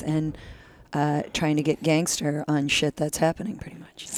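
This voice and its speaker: This woman's voice sits very deep and low, with a dark, mellow tone and monotone, flat intonation. She is quiet, and the recording is very clean with a silent background. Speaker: podcast guest. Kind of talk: casual chat. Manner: quiet, low-pitched.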